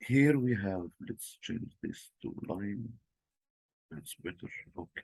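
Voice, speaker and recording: A man with a non-native accent talks at a very slow pace, leaving long, frequent pauses. His medium-pitched voice has lively intonation, and the sound is dry and close with no echo. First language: not English. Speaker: trading tutorial presenter. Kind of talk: screen-share tutorial. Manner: halting, with fillers.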